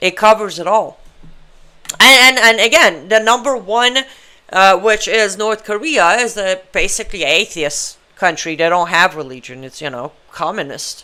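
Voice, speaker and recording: A woman with an Iranian accent at a moderate pace, medium pitch and a bright, sharp tone, with very wide pitch swings and big swings in loudness. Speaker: political talk show host, human rights activist. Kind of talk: live online talk show monologue. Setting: live stream studio. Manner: animated, conversational; halting, with fillers.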